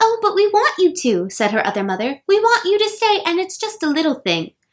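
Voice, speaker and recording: In a put-on character voice, a woman talks at a fairly quick pace, squeaky and extremely high-pitched, with very wide swings in pitch. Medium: read story. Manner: sweet, coaxing.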